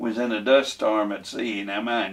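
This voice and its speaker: Noticeable background noise sits behind this recording. A man talks at a moderate pace. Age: 90s. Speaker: war veteran. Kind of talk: oral history interview. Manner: halting.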